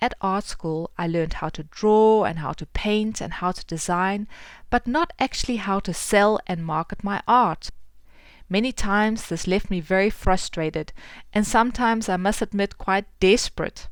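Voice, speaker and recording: A woman with a South African accent and ordinary pitch variation, on a very clean recording with a silent background. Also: medium pitch for a woman, moderate pace. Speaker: podcast host and artist. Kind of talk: podcast intro and interview.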